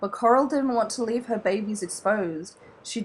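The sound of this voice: The voice is an unforced reading voice. Pitch moves in an ordinary way.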